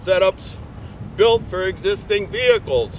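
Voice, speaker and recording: There is noticeable background noise behind this man. He speaks with an American accent in a monotone, flat intonation. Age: 60s. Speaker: public access TV presenter. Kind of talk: reading aloud. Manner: halting.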